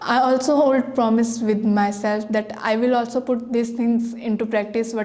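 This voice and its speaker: A woman speaks in a monotone, flat way. Noticeable background noise runs underneath. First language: Hindi. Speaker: language school student. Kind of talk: prepared testimonial speech. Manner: halting, with false starts.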